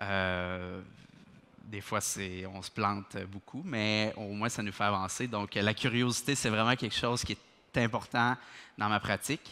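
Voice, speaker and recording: A man with a Quebec accent speaks at a very slow pace with fairly even intonation. His pitch is fairly low and his tone bright and sharp. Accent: Québécois French. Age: 20s. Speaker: dental technician, lab owner. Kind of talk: conference talk. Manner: many hesitations (euh).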